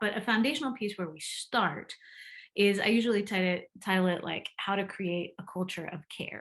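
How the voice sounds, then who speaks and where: Her pitch medium and its variation ordinary, a woman talks at a fairly quick pace. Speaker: empathy coach. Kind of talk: interview answer.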